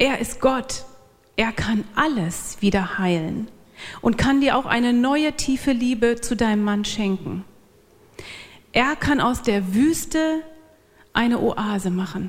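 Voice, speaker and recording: A woman's fairly high voice at a very slow pace, with long, frequent pauses. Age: 40s. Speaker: church speaker, pastor's wife. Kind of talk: church talk.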